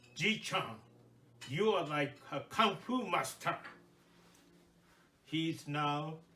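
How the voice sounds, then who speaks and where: A man's very slow, fairly high voice with ordinary pitch variation and audible room echo. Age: 80s+. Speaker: Buddhist minister. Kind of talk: sermon. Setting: temple service.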